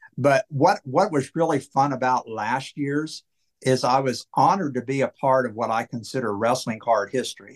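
A man talks in an unremarkable speaking voice at a medium pitch with ordinary pitch variation. The sound is dry and close, with no echo. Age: 60s. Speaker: wrestling card collector. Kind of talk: casual chat.

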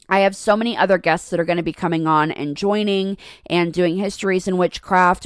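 A woman talks in a fairly low pitch. Her tone is animated and upbeat. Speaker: podcast host. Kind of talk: casual interview chat. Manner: animated, upbeat.

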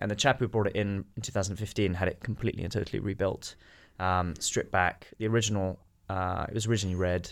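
Speaking at a very fast pace, a man with a British accent keeps a fairly low pitch and fairly even intonation in a very clean recording with a silent background. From Britain. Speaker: watch dealer, company founder. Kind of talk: casual interview.

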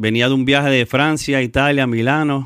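On a very clean recording with a silent background, a man speaks in an ordinary speaking voice with fairly even intonation at a moderate pace. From Puerto Rico. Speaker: reggaeton artist. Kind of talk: casual chat. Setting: studio.

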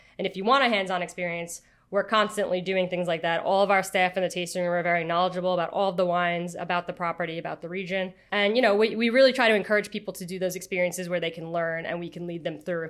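The speaker has a New York accent and talks very fast with hardly any pauses. The intonation stays fairly even. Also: woman, medium pitch for a woman. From Long Island, New York. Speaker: winery creative director. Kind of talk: interview.

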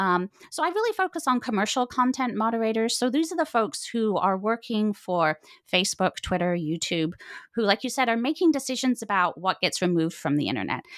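Very wide pitch swings with very even loudness at a fairly quick pace, on a very clean recording with a silent background. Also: woman, fairly high pitch for a woman, dry, close sound with no echo. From Britain. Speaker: author, philosophy professor. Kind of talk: interview.

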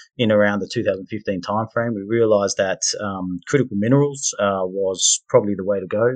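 In an Australian accent, a man with a fairly low pitch talks at a fairly quick pace with fairly even intonation, the sound dry and close with no echo over a quiet background. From Perth, Western Australia. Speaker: mining company managing director. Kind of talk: interview.

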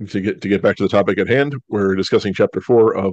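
Reading comes across in an unstrained voice.

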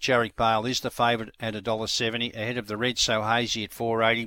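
A man with an Australian accent races along at a very fast pace. His medium-pitched voice has a bright, sharp tone and monotone, flat intonation. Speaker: greyhound racing tipster and show host. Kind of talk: racing preview.

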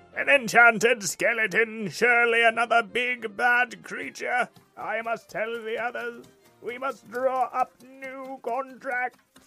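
Using a put-on character voice, a man talks at a fairly slow pace and an extremely high pitch while faint music plays in the background. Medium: actual play. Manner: haughty, officious.

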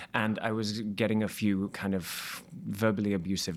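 With a British accent, a man speaks at a fairly low pitch and a moderate pace. His intonation is fairly even, and the recording is very clean with a silent background. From Wales. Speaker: musical theatre actor. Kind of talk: casual chat.

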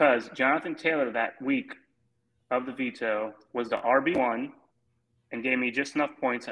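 This man has a medium pitch, fairly even intonation and a moderate pace, with a plain, everyday voice. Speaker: fantasy football league co-host. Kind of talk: casual chat.

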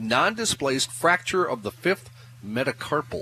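With noticeable background noise, a man with an American accent talks at a moderate pace using lively intonation. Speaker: radio news and sports reader. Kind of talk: news reading. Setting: live remote broadcast from a store.

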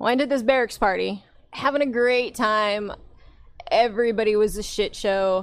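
A woman talks in a normal speaking voice. Her pitch varies in an ordinary way, and her loudness stays very even. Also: fairly high pitch for a woman, moderate pace, very clean recording, silent background. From US Midwest, Nebraska. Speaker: military veteran. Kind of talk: casual chat.

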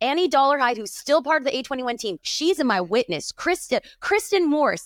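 In a dry, close sound with no echo, a woman's voice swings very widely in pitch. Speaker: pastor and church planter. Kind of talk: interview conversation. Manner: animated.

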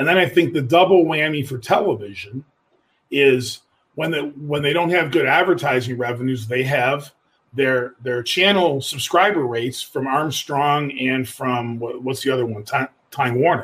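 In an American accent, a man with a fairly high pitch speaks at a moderate pace in an ordinary speaking voice. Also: ordinary pitch variation. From Buffalo, New York. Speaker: newspaper editor. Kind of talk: casual chat.

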